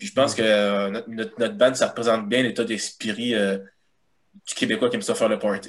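A man with a Quebec accent at a fairly quick pace. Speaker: guitarist and illustrator. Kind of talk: casual chat.

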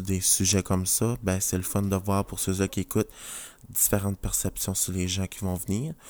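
A man with fairly low pitch speaks at a moderate pace in a flat monotone. The recording is very clean, with a silent background. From New Brunswick, Canada. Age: 20s. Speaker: nurse and podcast host. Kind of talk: casual podcast introduction monologue. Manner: hesitant, many fillers.

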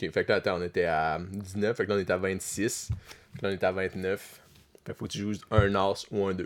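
A man with a fairly low voice talks at a moderate pace in a flat monotone. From Quebec, Abitibi. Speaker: podcast guest. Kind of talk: casual chat.

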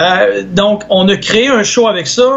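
A man speaks very slowly in a Quebec accent. His pitch varies in an ordinary way. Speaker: sports commentator. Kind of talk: casual chat.

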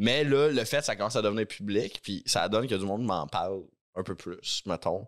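A man speaks in an ordinary speaking voice, fairly low in pitch with ordinary pitch variation. His pace is moderate, and the recording is very clean with a silent background. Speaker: podcast co-host. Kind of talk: casual chat.

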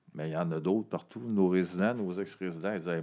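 With a Quebec accent, a man speaks at a moderate pace in a very deep, low pitch, with a dark, mellow tone and fairly even intonation. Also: very clean recording, silent background. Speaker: director of a homeless shelter organization. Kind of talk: casual interview. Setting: office.

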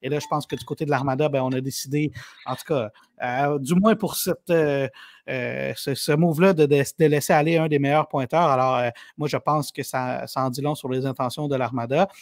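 In a Quebec accent, a man talks at a fairly high pitch with fairly even intonation, recorded dry and close with no echo. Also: moderate pace. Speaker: sports journalist. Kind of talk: casual chat.

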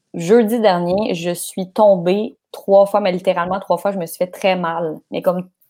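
She speaks at a fairly slow pace with a medium pitch. The woman's tone is dark and mellow, and her intonation is fairly even. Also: big swings in loudness. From Quebec, Laval. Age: 20s. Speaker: sports journalist. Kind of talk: casual chat.

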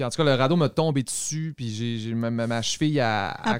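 A man at a moderate pace, with an unremarkable speaking voice and ordinary pitch variation, on a very clean recording with a silent background. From Quebec, Saguenay–Lac-Saint-Jean. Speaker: podcast host. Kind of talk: casual interview. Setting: studio.

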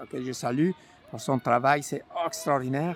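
A man is speaking. He has a Mexican accent. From Mexico. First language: Spanish (speaking French). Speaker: community organization founder. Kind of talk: personal testimony.

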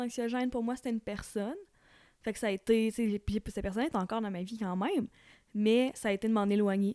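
A woman speaks in a plain, everyday voice at a fairly high pitch and a fairly quick pace. The sound is dry and close with no echo, on a very clean recording with a silent background. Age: 20s. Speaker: podcast guest. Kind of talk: casual chat.

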